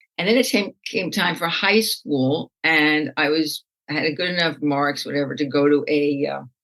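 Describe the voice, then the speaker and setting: A woman with an American accent speaks at a very deep, low pitch and a moderate pace. Her pitch varies in an ordinary way, with hardly any pauses. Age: 70s. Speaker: rabbi and meditation teacher. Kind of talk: interview. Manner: conversational.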